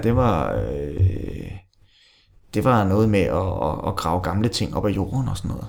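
In a room with audible echo, a man speaks at a fairly low pitch and a fairly slow pace, his voice showing vocal fry and very wide pitch swings. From Denmark, Allerød (North Zealand). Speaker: unemployed job seeker. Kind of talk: interview. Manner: halting.

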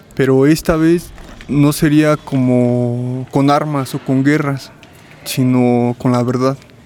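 Against noticeable background noise, a man speaks very slowly at a medium pitch, monotone and flat, with very even loudness. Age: 30s. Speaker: prison inmate with schizophrenia. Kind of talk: interview testimony. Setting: psychiatric prison center.

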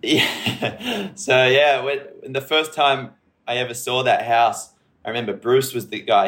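Fairly slow speech from a man in an Australian accent. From Western Australia. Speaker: professional surfer. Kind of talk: casual interview.

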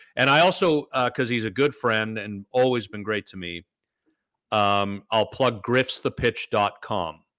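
In an Ontario accent, a man speaks fairly slowly at a medium pitch with ordinary pitch variation. The recording is very clean with a silent background and a dry, close sound with no echo. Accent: Canadian (Ontario). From Toronto area, Canada. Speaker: former sports radio host. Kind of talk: casual sports talk interview.

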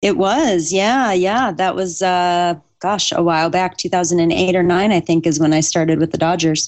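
Hardly pausing, a woman with an American accent talks at a moderate pace with very even loudness. She has a plain, everyday voice, fairly low in pitch with ordinary pitch variation. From US, Buffalo, New York. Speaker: physical therapist and former pro sports athletic trainer. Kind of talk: interview.

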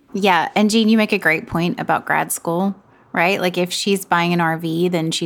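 Heard against a silent background in a very clean recording, a woman speaks with a Southern US accent. Her pitch is fairly low and her pace moderate. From US South. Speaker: podcast co-host. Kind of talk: casual chat and reading listener questions.

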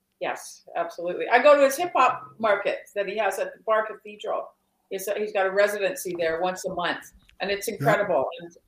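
At a fairly quick pace, a woman speaks in a normal speaking voice with a medium pitch and lively intonation. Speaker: filmmaker. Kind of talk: casual chat.

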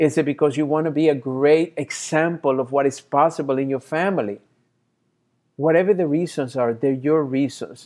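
At a moderate pace over a quiet background, a man speaks with a fairly high pitch and fairly even intonation. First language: not English. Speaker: motivational speaker. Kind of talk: motivational talk.

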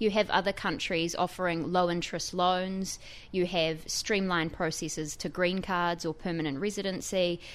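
A woman with a New Zealand accent, fairly low pitch and monotone, flat intonation at a moderate pace, against a quiet background. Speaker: tech reporter. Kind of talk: radio interview. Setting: studio.

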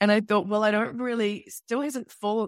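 A woman with a New Zealand accent is heard in a dry, close sound with no echo, on a very clean recording with a silent background. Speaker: author and spiritual guide. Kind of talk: casual interview.

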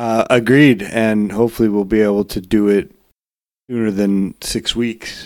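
In a very clean recording with a silent background, a man speaks at a fairly slow pace in a fairly low pitch with monotone, flat intonation. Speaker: podcast co-host. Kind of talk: casual chat.

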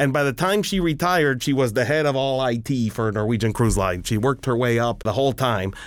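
A man with a plain, everyday voice speaks at a fairly quick pace with hardly any pauses. His pitch is medium, his intonation lively and his loudness very even. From Miami, Florida. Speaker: immigration attorney. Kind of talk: interview.

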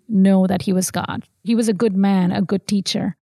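A woman speaks at a moderate pace with medium pitch, a somewhat breathy, dark, mellow tone and fairly even intonation, in a dry, close sound with no echo. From South India (Madurai). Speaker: pediatrician. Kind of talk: testimony. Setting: church.

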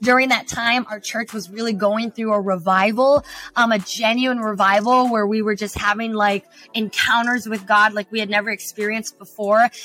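A woman with a Chicago accent and a fairly high pitch speaks at a moderate pace in a monotone, flat intonation over noticeable background noise. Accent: Chicago-area American. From US Midwest, north of Chicago. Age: 20s. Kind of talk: radio interview testimony.

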